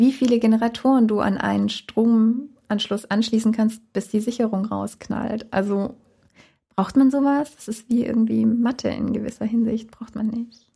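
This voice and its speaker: Her tone dark and mellow, a woman talks at a moderate pace with monotone, flat intonation. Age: 30s. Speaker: wedding photographer. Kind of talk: interview.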